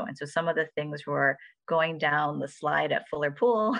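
With an American accent, a woman speaks at a moderate pace in a very deep, low voice marked by vocal fry. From Michigan, Ann Arbor. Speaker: physician and professor. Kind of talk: interview.

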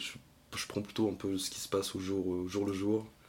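A man with a plain, everyday voice and a fairly low pitch speaks at a moderate pace with fairly even intonation. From Brittany, France (Lorient). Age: 20s. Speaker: podcast guest. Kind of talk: casual interview.

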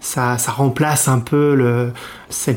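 A man's medium-pitched voice with fairly even intonation, over noticeable background noise. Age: 30s. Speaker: expat guest sharing home cuisine. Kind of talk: casual interview. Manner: halting, many fillers.

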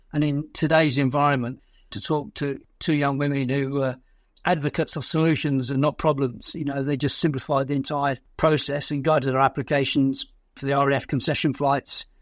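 In a British accent, a man speaks fairly quickly with a fairly high, monotone voice on a very clean recording with a silent background. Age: 60s. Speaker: war veteran. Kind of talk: interview.

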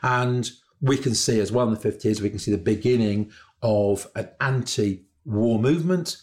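In a very clean recording over a silent background, a man talks at a moderate pace and medium pitch with ordinary pitch variation. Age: 60s. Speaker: historian. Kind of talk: educational discussion. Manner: hesitant, many fillers.

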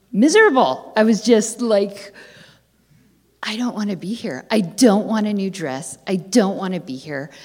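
This woman has a medium-pitched voice and an unremarkable speaking voice. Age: 40s. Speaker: audience member asking a question. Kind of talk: live audience Q&A. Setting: stage with audience.

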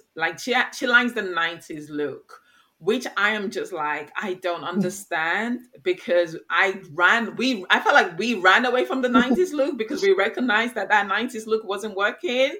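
The tone is bright and sharp, with lively intonation. The pace is fairly slow. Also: woman, fairly high pitch for a woman. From England, Nigerian heritage. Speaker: podcast co-host, mother. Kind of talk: casual chat.

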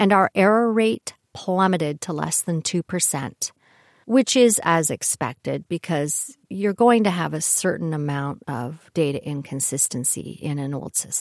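The sound is dry and close, with no echo, carrying a plain, everyday voice. Its intonation is lively and the pace fairly slow. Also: woman, fairly low pitch for a woman. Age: 60s. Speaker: podcast host, retired IT programmer. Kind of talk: monologue.

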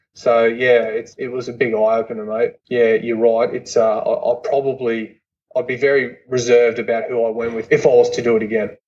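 A man speaks with an Australian accent at a medium pitch. His intonation is monotone and flat. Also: moderate pace. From Queensland, Australia. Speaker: former commando soldier. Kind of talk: casual chat.

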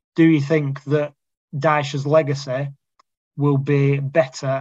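This man speaks with a fairly high pitch and a somewhat breathy quality. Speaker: podcast host. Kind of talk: casual chat. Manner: halting.

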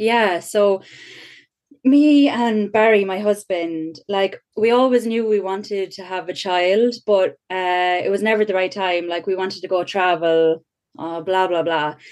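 In an Irish Midlands accent, a woman talks at a fairly slow pace with a medium pitch and ordinary pitch variation. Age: 30s. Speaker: mother sharing birth story. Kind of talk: testimony.

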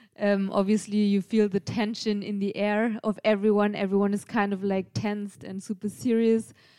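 A woman with a German accent, medium pitch and a dark, mellow tone, in monotone, flat intonation at a moderate pace with hardly any pauses. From Germany, Bavaria. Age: 30s. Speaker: race support crew member. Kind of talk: casual chat.

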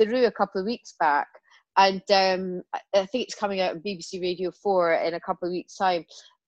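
A woman with a Scottish accent at a medium pitch, talking at a fairly quick pace with big swings in loudness, in a dry, close sound with no echo over a quiet background. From Scotland. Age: 40s. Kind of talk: casual chat.

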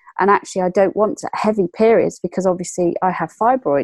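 A woman with an English accent, ordinary pitch variation, and a dry, close sound with no echo over a quiet background. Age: 40s. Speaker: entrepreneur and fashion lecturer. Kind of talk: interview.

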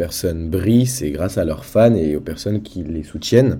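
Noticeable background noise sits behind this recording. A man speaks with very deep, low pitch and lively intonation. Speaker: independent pop singer. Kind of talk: casual interview.

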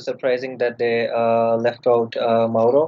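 A man speaks at a medium pitch with monotone, flat intonation. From India. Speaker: football fan. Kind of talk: casual chat.

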